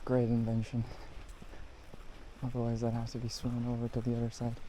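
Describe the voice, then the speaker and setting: Amid audible room echo, a man mumbles at a very fast pace in a dark, mellow tone with monotone, flat intonation. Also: medium pitch for a man. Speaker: photography vlogger. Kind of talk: casual POV vlog narration. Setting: outdoors in a national park. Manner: mumbling under breath.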